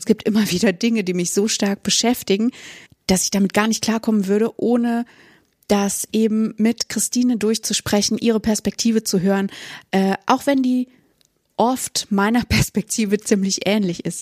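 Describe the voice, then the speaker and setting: A woman speaks at a moderate pace with fairly even intonation and a somewhat breathy voice. The sound is dry and close with no echo, in a very clean recording with a silent background. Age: 30s. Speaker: teacher and podcast co-host. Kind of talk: casual chat.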